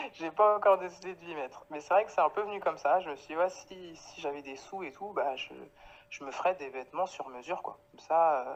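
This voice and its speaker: Her voice is fairly low for a woman, with ordinary pitch variation. She moves at a fairly quick pace, and her loudness swings widely. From Paris, France (Guadeloupean family). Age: 30s. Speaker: clothing brand founder. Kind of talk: interview. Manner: hesitant, many fillers.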